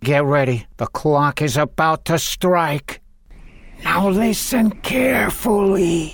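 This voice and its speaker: Delivery is very slow. It comes in a put-on character voice. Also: man, high pitch for a man. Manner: literal-minded, cheerfully dim.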